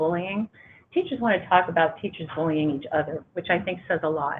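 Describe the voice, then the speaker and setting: A woman speaks at a medium pitch with ordinary pitch variation. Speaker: education researcher. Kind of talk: panel presentation. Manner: fast; hesitant fillers.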